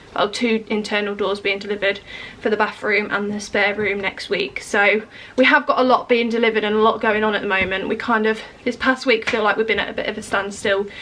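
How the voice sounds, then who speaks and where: Noticeable background noise accompanies a woman with an English accent. She talks at a very fast pace with fairly even intonation. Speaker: home renovation vlogger. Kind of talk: casual vlog update. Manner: hesitant with many fillers.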